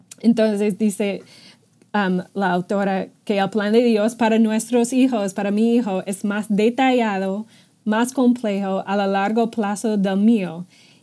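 With an English accent, a woman talks at a very slow pace in a dark, mellow tone and fairly even intonation. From United States. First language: English (speaking Spanish). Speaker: ministry staff member; podcast co-host. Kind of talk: casual chat. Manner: halting. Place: office. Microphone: earbuds.

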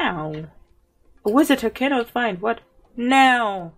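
With music in the background, a woman speaks at a very slow pace with lively intonation. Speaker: gaming YouTuber. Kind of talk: gameplay commentary. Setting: home recording at PC. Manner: giggly.

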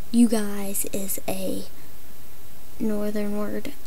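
The speaker has a Southern US accent and talks at a very slow pace. There is light background noise. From Tennessee. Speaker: puppet vlogger. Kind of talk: casual talk to camera. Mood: annoyed, ranting. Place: home room. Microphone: webcam.

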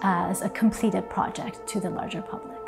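With clear music behind her, a woman talks at a moderate pace. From Iran. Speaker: multidisciplinary artist. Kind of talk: interview answer. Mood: calm, reflective. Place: studio. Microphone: lapel.

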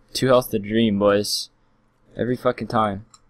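Over a quiet background, a man with a fairly low pitch and ordinary pitch variation speaks at a fairly quick pace. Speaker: game streamer. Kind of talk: gameplay commentary. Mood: frustrated, joking.

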